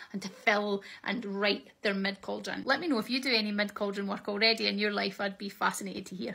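The speech moves at a very fast pace with hardly any pauses and fairly even intonation, against a quiet background. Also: woman. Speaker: shamanic practice teacher. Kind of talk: tutorial. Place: home room.

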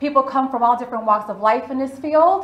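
A woman talks in a high voice with audible echo in the room. Light background noise sits behind her. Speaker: event host presenter. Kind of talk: presentation talk. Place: hall.

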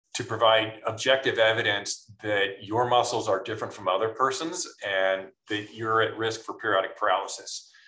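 A man speaks at a moderate pace. The background is quiet, with audible room echo. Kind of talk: interview answer. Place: home room. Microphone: video call.

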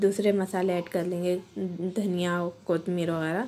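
A woman speaks at a fairly slow pace in a dark, mellow tone, her intonation monotone and flat. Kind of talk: tutorial. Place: kitchen. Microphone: phone near.

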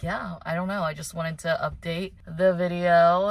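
A somewhat breathy voice in a dry sound with no echo. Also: woman. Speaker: lifestyle vlogger. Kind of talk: casual vlog talk to camera. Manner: upbeat, chatty. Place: car. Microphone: phone near.

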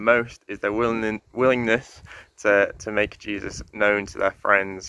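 A bright, sharp tone delivered in a flat monotone at a fairly slow pace, with a dry sound and no echo. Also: man. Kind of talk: devotional talk. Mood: calm, sincere. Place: garden. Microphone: phone near.

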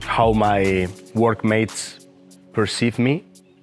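Over faint music in the background, a man speaks at a fairly low pitch with ordinary pitch variation. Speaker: teacher. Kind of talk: interview answer. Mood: reflective, warm. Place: garden. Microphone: lapel.

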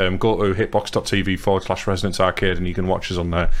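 This is a man's voice. He speaks at a very fast pace. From England. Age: 30s. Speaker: podcast host. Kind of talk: casual chat. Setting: live stream. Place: home room. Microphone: headset.

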